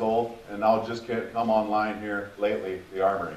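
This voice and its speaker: A man with a fairly low pitch talks in an Upper Midwest accent. Audible room echo and noticeable background noise fill the recording. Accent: Upper Midwest American. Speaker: community focus group member presenting. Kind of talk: public presentation at council meeting. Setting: public meeting room with audience. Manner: halting, many repeated words.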